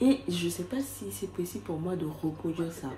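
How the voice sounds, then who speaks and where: A woman speaks in a fairly low pitch. She is soft-spoken. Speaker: vlogger. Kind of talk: casual vlog talk to camera. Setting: outdoors.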